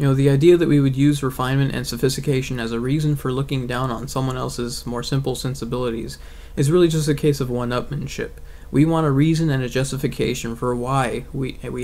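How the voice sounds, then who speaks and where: A man with a medium pitch talks at a very fast pace in a monotone, flat intonation. Noticeable background noise and audible room echo fill the recording. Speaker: atheist video blogger. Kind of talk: video essay monologue. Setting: bedroom.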